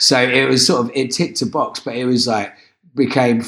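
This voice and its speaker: A medium-pitched man with an English accent at a moderate pace. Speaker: musician. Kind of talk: casual chat.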